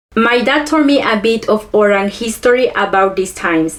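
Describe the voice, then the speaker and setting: There is noticeable background noise as a woman talks. She keeps a moderate pace and uses lively intonation. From Chiapas, Mexico (Ch'ol community). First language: Ch'ol. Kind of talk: educational presentation.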